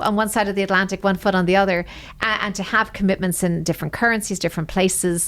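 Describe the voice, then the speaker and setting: A woman's very fast, fairly even delivery at a medium pitch, in an Irish accent. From Ireland. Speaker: senior wealth advisor. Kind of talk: interview.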